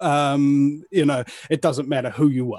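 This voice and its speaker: A man with a New Zealand accent and a fairly high pitch sounds dry and close with no echo, against a quiet background. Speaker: alternative media broadcaster. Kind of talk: casual interview chat. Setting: live show.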